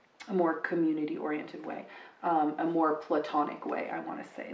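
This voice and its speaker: A woman speaks with a fairly low pitch. Audible room echo surrounds her voice. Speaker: tarot card reader. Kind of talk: tarot reading monologue. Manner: hesitant, many fillers and repetitions.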